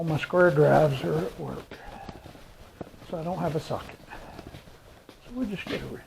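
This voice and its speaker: The speaker has an American accent and a moderate pace, with long, frequent pauses and big swings in loudness. Noticeable background noise is present. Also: man. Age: 60s. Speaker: mechanic hobbyist vlogger. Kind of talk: working commentary. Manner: casual, thinking aloud.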